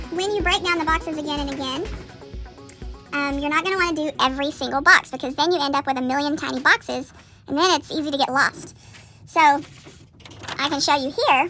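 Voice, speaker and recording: Over music in the background, a woman projects a raised, high-pitched voice at a fairly quick pace with fairly even intonation. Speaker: middle school art teacher. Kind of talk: classroom drawing tutorial. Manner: fast.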